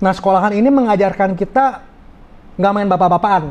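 A man speaks at a very fast pace with a high pitch and ordinary pitch variation. His tone is animated. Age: 30s. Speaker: businessman, fraud victim; podcast guest. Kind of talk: interview testimony. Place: studio. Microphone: lapel.

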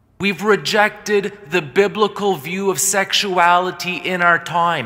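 A man with a high pitch speaks in a raised, projected voice, with ordinary pitch variation over a quiet background. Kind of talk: sermon. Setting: church. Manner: earnest, forceful preaching; direct, warning the congregation. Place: church.

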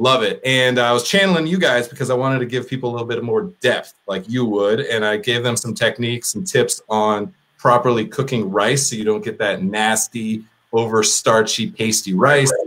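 Pitch rises and falls in an ordinary way. The speed is moderate. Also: man. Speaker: podcast host. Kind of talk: casual podcast chat. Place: home room.

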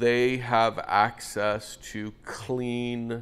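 There is little pitch movement in this man's medium-pitched voice.

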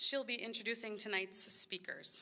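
A woman with a bright, sharp tone speaks at a moderate pace, her pitch varying in an ordinary way. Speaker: event host. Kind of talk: scripted speech at ceremony. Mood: warm, appreciative. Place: hall. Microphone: podium.

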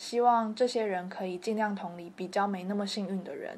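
A woman with a Taiwanese accent talks at a moderate pace, her medium pitch held in fairly even intonation. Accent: Taiwanese Mandarin. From Kaohsiung, Taiwan. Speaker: university student filmmaker. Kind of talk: first-person documentary narration.

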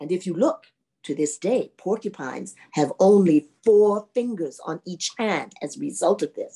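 Over a quiet background, lively intonation colors a natural reading voice.

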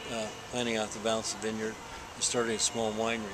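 A man talks at a medium pitch with noticeable background noise around him. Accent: American. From Texas. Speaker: winemaker; interviewee. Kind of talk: interview. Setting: hotel venue before a dinner. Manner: hesitant, with fillers and repetitions. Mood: relaxed, warm storytelling.

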